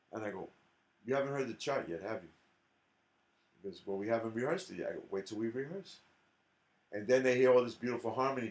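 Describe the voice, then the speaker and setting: Speaking very fast with a New York accent, a man leaves long, frequent pauses and uses ordinary pitch variation. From New York City, South Bronx. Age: 60s. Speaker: jazz drummer and educator. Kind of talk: interview conversation. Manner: animated.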